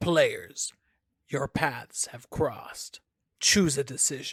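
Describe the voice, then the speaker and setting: A man puts on a raspy, fairly high character voice with a dramatic tone, speaking very slowly in a dry, close recording with no echo. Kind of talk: formal. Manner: dramatic, announcing.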